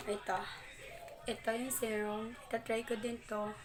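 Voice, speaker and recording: Fairly slow, fairly high-pitched speech from a woman, amid noticeable background noise and audible room echo. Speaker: vlogger. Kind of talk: product review vlog. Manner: casual.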